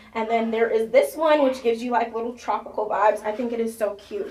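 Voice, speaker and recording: A woman with a fairly high pitch talks at a fairly quick pace, her pitch varying in an ordinary way, against noticeable background noise. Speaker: beauty vlogger. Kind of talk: tutorial. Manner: fast; animated.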